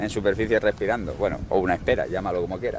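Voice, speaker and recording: A man's voice comes through with a dry sound and no echo. Noticeable background noise is present. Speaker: fishing vlogger. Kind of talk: casual vlog chat. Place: waterside. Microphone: phone near.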